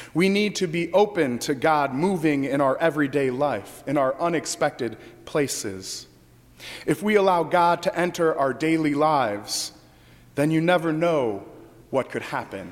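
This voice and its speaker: A man speaks in a normal speaking voice, fairly high in pitch. His pace is moderate and his intonation lively. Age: 30s. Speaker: pastor. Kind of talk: sermon.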